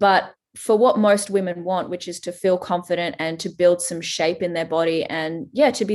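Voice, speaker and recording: In an Australian accent, a woman speaks at a fairly low pitch with ordinary pitch variation. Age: 30s. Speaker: fitness trainer. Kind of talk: casual chat.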